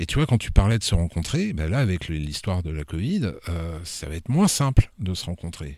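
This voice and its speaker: At a moderate pace and with hardly any pauses, a man with a very deep, low pitch speaks in big swings of loudness on a very clean recording with a silent background. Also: lively intonation. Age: 50s. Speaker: novelist. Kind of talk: casual chat.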